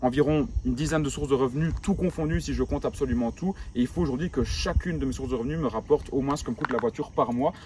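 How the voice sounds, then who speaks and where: A man with a strong Belgian accent talks at a very fast pace with hardly any pauses. His pitch variation is ordinary. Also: medium pitch for a man. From rural Belgium. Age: 20s. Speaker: entrepreneur youtuber. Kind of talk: vlog monologue. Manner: casual, hesitant fillers.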